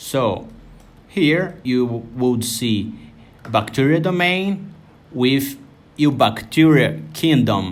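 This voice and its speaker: A man with a Brazilian Portuguese accent speaks very slowly at a medium pitch, taking long, frequent pauses. His pitch swings very widely, and the room echo is audible. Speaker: software tutorial creator. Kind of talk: tutorial. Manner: halting, with repetitions.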